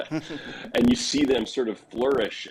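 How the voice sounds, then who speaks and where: A man's voice over noticeable background noise. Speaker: voice actor and voice acting teacher. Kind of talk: podcast interview answer. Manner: thoughtful, humble, reflective.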